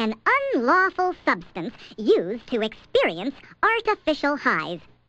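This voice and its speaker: A put-on character voice with very wide pitch swings. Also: female-sounding voice, high pitch for a woman, moderate pace. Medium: voice reel.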